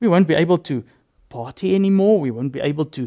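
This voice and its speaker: The voice moves at a moderate pace with lively intonation and a dark, mellow tone. The background is quiet. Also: man. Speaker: religious convert giving testimony; interview guest. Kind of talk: testimony. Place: studio. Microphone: lapel.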